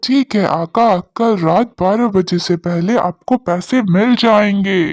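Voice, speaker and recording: This cartoonish character voice sits at a middle pitch and moves at a fairly slow pace. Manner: servile then menacing.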